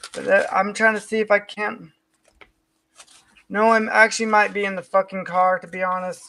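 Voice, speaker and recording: A raised, projected voice with a bright, sharp tone, flat monotone intonation, big swings in loudness, moderate pace and long, frequent pauses. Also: man, high pitch for a man. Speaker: vlogger. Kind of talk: personal venting monologue. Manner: slurred speech; halting, disorganized.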